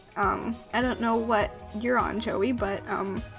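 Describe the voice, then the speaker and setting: A woman speaks with an American accent over music in the background. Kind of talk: casual talk to camera, accent tag. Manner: hesitant, rambling.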